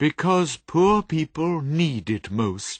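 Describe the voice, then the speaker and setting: A man speaks in a put-on character voice pitched fairly high. He goes at a very slow pace. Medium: read story. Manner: cheerful, hearty.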